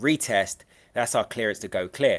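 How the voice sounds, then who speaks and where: With a London accent, a man speaks at a moderate pace. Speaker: trading educator. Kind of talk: live trading stream. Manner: loud.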